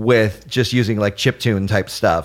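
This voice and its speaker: A man speaks in a normal speaking voice at a moderate pace. His pitch is fairly low, with fairly even intonation. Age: 30s. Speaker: arcade gamer and podcaster. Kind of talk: casual chat.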